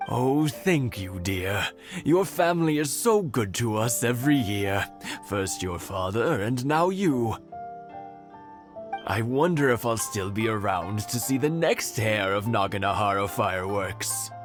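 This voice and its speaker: A man puts on a cartoonish character voice at a medium pitch and a fairly slow pace. Music plays clearly in the background. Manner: gracious, polite.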